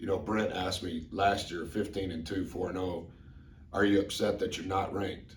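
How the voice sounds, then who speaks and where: Somewhat breathy, a man's very deep, low voice carries audible room echo. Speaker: college basketball coach. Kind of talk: press conference. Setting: press conference room. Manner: informal, repetitive.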